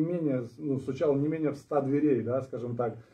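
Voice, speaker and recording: The voice is somewhat breathy, with fairly even intonation. The background is quiet. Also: man. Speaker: party candidate, returned from abroad. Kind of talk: live stream discussion. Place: meeting room. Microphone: camera far.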